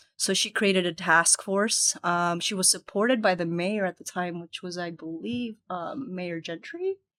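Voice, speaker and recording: Bright and sharp in tone, the voice moves at a moderate pace with ordinary pitch variation and hardly any pauses, on a very clean recording with a silent background. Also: woman, medium pitch for a woman. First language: Spanish. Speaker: nonprofit executive director. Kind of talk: podcast interview.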